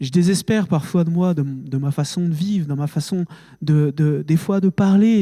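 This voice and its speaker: Recorded very cleanly against a silent background, a man talks with fairly even intonation in a dry, close sound with no echo. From France, Haute-Marne. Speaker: preacher. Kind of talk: sermon. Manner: emotional, halting with fillers.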